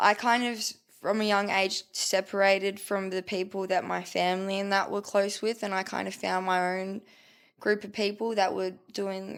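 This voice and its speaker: This woman has an Australian accent and a monotone, flat intonation. The recording is very clean with a silent background. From Australia, Melbourne (Port Melbourne). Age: 20s. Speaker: rapper. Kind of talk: casual chat.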